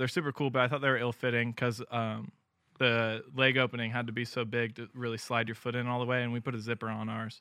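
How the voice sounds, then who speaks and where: The speaker has an American accent and a fairly even intonation. The pace is very fast. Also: man, medium pitch for a man. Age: 20s. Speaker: bootmaker and company founder. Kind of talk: casual interview.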